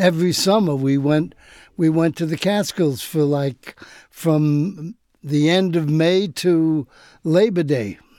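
Very clean and recorded against a silent background, a dark, mellow voice with an American accent speaks at a very slow pace with ordinary pitch variation. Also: man, fairly high pitch for a man. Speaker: comedian and TV director. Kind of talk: casual chat.

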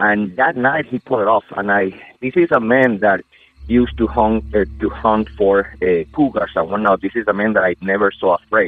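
At a moderate pace, a man with a Spanish accent speaks in a fairly low pitch with lively intonation. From Venezuela, Amazon region. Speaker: podcast listener caller. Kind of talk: personal story told into a recording.

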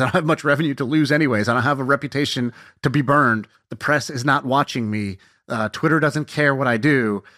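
At a very fast pace, a man with a bright, sharp tone and ordinary pitch variation is heard in a dry, close sound with no echo. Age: 30s. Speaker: podcast co-host, startup founder. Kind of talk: casual chat. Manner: animated storytelling.

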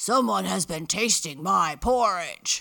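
A man growls in a put-on character voice with a high pitch and a fairly slow pace. The recording is very clean, with a silent background. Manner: angry, gruff.

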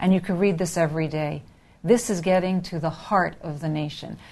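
A woman has a normal speaking voice with a fairly low pitch, ordinary pitch variation and a moderate pace. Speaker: news editor. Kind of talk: interview. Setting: studio.

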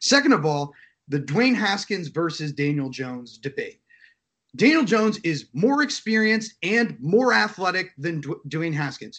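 Swinging very widely in pitch, a man talks at a moderate pace. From New Jersey. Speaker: NFL analyst. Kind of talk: interview.

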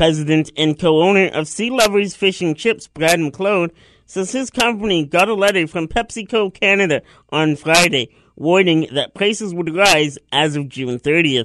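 Recorded dry and close with no echo against a quiet background, a man with a high pitch speaks at a moderate pace with ordinary pitch variation. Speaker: radio producer. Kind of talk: news reading.

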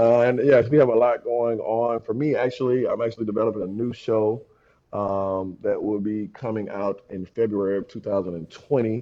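Here a man with an unremarkable speaking voice and medium pitch talks at a moderate pace with fairly even intonation. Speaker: fellow podcaster. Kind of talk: casual album review discussion.

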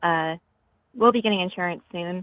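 Speaking at a medium pitch, a woman keeps her intonation fairly even. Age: 20s. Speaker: caller. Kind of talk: phone call.

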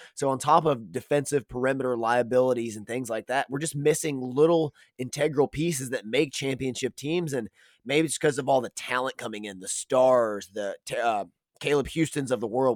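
Over a very clean recording with a silent background, a man with a plain, everyday voice talks at a fairly quick pace and a medium pitch with ordinary pitch variation. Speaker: podcast co-host. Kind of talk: casual sports podcast banter.

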